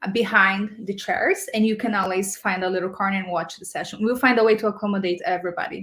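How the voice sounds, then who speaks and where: In a Portuguese accent, a woman speaks with lively intonation, a fairly high pitch and a somewhat breathy sound. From Brazil. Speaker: community program manager. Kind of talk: casual chat.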